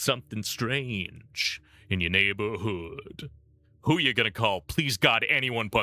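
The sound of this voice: A reading voice that is unforced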